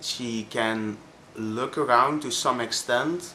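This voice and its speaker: Very slowly, a man speaks in a Flemish Belgian accent. His tone is bright and sharp. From Belgium (Flanders). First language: Dutch (Flemish). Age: 20s. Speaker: vlogger. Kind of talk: personal testimony vlog. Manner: halting, many fillers.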